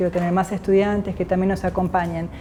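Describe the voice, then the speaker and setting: A woman's medium-pitched voice with an Argentine accent, plus noticeable background noise. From Argentina, Jujuy. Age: 50s. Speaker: physicist. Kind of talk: interview.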